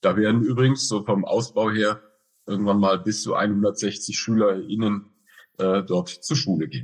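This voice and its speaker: This man has a fairly low pitch with ordinary variation. He speaks at a fairly slow pace. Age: 50s. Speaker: director of a school for the blind. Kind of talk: interview. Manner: hesitant with fillers.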